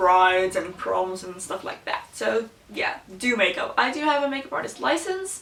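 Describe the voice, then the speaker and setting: A woman with a non-native accent talks at a moderate pace in a fairly high voice. Her pitch varies in an ordinary way, and the room echo is audible. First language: Slovak and Dutch. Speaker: beauty YouTuber. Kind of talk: casual chat. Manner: casual, with many fillers.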